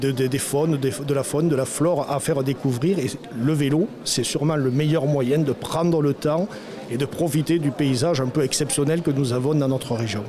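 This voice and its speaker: Fairly high-pitched male voice at a moderate pace, with fairly even intonation, very even loudness and noticeable background noise. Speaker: mayor. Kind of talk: interview. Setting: conference. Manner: hesitant with fillers.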